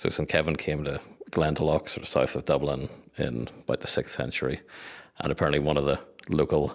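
This man speaks at a fairly quick pace with a very deep, low pitch, vocal fry and flat, monotone intonation. The recording is very clean, with a silent background. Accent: Northern Irish. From Northern Ireland. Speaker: community communications head. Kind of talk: interview.

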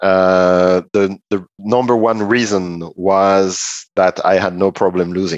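Very deep and low, a man's voice moves at a very slow pace with hardly any pauses and fairly even intonation. The sound is dry and close with no echo, over a quiet background. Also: very even loudness. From northeast France. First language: French. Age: 50s. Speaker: performance management consultant, former tennis player. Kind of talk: podcast interview.

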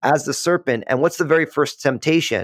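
On a very clean recording with a silent background and a dry, close sound with no echo, a man with an American accent talks very fast with ordinary pitch variation. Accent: East Coast buried under West Coast. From US East Coast. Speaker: podcast host, pastor-like author. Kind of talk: casual interview chat. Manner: calm, friendly.

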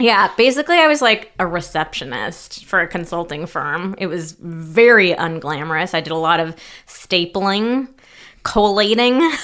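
A woman's medium-pitched voice with lively intonation, an animated tone and a moderate pace. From California. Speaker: sex therapist and podcast co-host. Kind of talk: casual chat. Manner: animated, laughing often.

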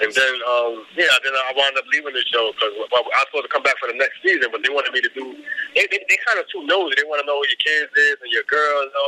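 A man with a New York accent at a very fast pace, dry and close with no echo, over noticeable background noise. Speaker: hip hop artist and magazine publisher. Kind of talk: interview.

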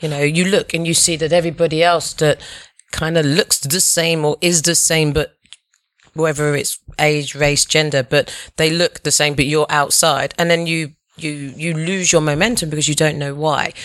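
In a British accent, a woman speaks at a moderate pace with a very deep, low pitch and monotone, flat intonation. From England. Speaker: tech worker. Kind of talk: casual chat.

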